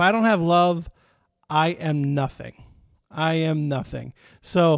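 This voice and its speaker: A man talks with a Midwestern American accent at a very slow pace. The sound is dry and close, with no echo. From Michigan, US Midwest. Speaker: pastor. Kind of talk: sermon. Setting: online video stream. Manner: casual, conversational.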